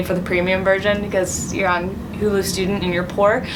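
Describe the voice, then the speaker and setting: A woman's medium-pitched voice carries fairly even intonation against noticeable background noise. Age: young. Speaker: poet. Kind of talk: casual talk to camera.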